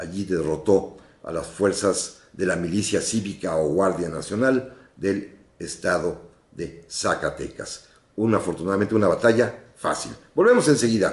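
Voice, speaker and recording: Using a normal speaking voice, a man talks fairly slowly at a fairly low pitch with ordinary pitch variation. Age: 60s. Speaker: radio host and historian. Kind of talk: radio history program. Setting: radio studio, live broadcast.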